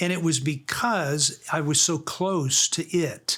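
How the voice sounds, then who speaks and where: A somewhat breathy man's voice with ordinary pitch variation. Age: 60s. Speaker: author and radio host. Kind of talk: interview. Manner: halting, repeated words.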